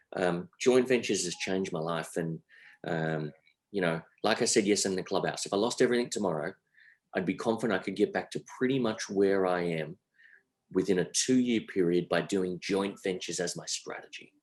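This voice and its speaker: Fairly quick and with ordinary pitch variation, a man with an Australian accent speaks in a very deep, low voice. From Australia, Sydney. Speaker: entrepreneur. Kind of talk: interview.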